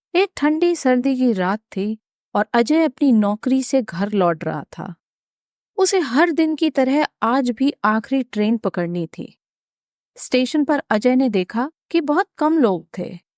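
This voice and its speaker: A woman's high-pitched voice moves through very wide pitch swings, recorded very cleanly against a silent background, with a dry, close sound and no echo. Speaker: voice artist. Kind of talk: mystery story narration.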